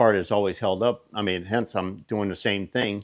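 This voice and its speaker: Against a quiet background, a man with a fairly low pitch talks at a moderate pace in monotone, flat intonation. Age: 60s. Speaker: machinist and shop owner. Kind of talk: casual shop talk video. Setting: workshop. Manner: casual with fillers and hesitations.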